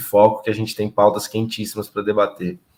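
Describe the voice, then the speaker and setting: A man's ordinary speaking voice, fairly low in pitch, at a moderate pace. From interior of São Paulo state, Brazil. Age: 30s. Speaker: political candidate and agronomist. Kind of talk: interview.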